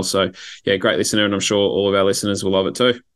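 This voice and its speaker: Over a quiet background, a man with an Australian accent speaks at a fairly low pitch. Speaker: podcast host and football fan. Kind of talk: casual chat. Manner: hesitant, filler words.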